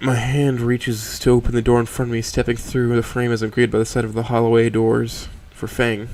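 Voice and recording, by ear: A passage is being read aloud in a natural voice.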